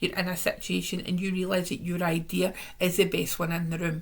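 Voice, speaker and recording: This woman's voice is somewhat breathy. She keeps a moderate pace. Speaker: tarot reader. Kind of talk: weekly tarot reading to camera. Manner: casual, warm, chatty.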